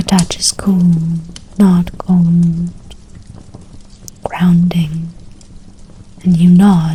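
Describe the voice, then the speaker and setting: Noticeable background noise sits behind a soft-spoken voice. The pace is very slow, with long, frequent pauses. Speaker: game master. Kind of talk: DnD ASMR storytelling. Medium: actual play.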